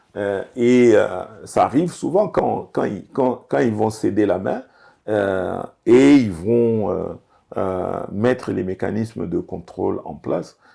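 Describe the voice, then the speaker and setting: A man's very slow, lively-intoned delivery at medium pitch, with a dark, mellow tone. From DR Congo. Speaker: business executive. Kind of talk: interview. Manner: hesitant, many fillers.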